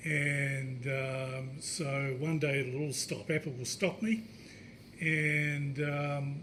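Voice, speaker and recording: Speaking very slowly with a New Zealand accent, a man uses a fairly high pitch and fairly even intonation amid audible room echo. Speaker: indie app developer. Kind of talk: tech meetup talk.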